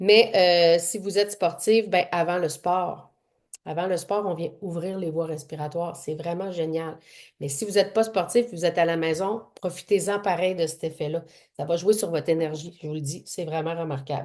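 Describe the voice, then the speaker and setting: Against a quiet background, a woman with a Quebec accent speaks at fairly low pitch with fairly even intonation. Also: moderate pace. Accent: Québécois French. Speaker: essential oils workshop presenter and fitness trainer. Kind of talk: online workshop presentation.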